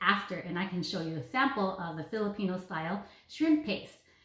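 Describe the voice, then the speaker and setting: A woman keeps a moderate pace while her voice carries audible room echo. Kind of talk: tutorial. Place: kitchen. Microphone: camera far.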